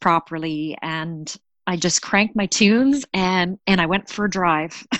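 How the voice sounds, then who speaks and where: In a Canadian accent, a woman with an unremarkable speaking voice and fairly low pitch talks at a fairly slow pace, the sound dry and close with no echo against a quiet background. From Canada. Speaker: storyteller sharing a personal mental health story. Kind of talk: personal testimony.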